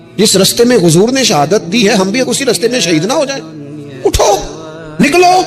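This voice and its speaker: A man's pitch swings very widely as noticeable background noise continues around him. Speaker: Islamic preacher giving a sermon. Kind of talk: emotional religious sermon (bayan).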